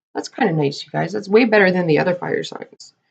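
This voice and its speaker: With a Canadian accent, a woman talks at a fairly quick pace. Her voice carries vocal fry. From Canada. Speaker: tarot card reader. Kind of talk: tarot reading for viewers.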